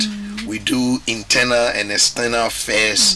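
Light background noise behind a male speaker. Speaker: guest. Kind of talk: interview answer. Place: studio. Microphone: studio mic.

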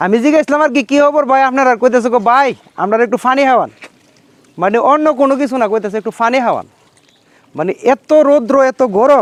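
This man's voice sits extremely high in pitch, with ordinary pitch variation. The sound is dry and close, with no echo. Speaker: video blogger. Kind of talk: vlog narration with on-the-spot interview. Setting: outdoors in hot sun by a field.

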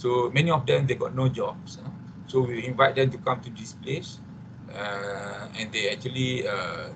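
A man speaks with a Malaysian accent at a moderate pace. Noticeable background noise runs behind him. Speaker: psychiatrist and addiction researcher. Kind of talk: presentation. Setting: video call. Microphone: video call.

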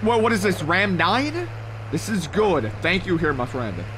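Over noticeable background noise, a man with an American accent speaks at a moderate pace with very wide pitch swings. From Ohio, US Midwest. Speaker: gaming streamer. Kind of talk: live gameplay commentary. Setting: live stream. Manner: animated. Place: home room. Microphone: studio mic.

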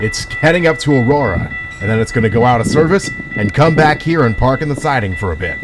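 A man talks while music plays behind him. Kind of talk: casual commentary. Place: open country.

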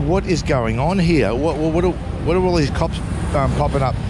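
The sound is dry with no echo, though loud background noise comes through. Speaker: travel vlogger. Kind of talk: casual vlog chat. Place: street. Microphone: phone near.

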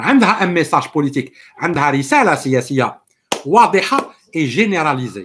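Over light background noise, a man with an Algerian accent and a fairly high pitch speaks with lively intonation. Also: fairly quick pace. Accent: Algerian Arabic with French code-switching. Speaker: political commentator. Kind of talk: live stream political monologue. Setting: live stream with viewers. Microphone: webcam.

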